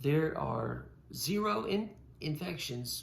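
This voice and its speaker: A man with vocal fry and very wide pitch swings at a very slow pace, amid audible room echo. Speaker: podcast host. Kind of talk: casual chat. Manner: halting.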